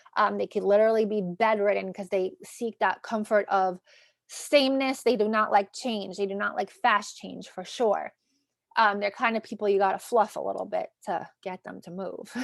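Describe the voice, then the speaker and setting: A woman in a New York accent talks at a medium pitch with fairly even intonation but big swings in loudness, recorded dry and close with no echo against a silent background in a very clean recording. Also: moderate pace. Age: 30s. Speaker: astrologer and tarot reader. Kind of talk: tarot reading video. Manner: casual, filler-heavy.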